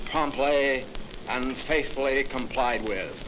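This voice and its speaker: A man's voice amid noticeable background noise. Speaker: army general. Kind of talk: formal ceremonial speech. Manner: solemn.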